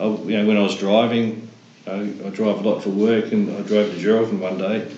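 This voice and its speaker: Noticeable background noise and audible room echo surround a man with an Australian accent. His fairly low voice runs at a fairly quick pace in a monotone, flat intonation. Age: 60s. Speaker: prostate cancer survivor. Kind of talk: casual chat.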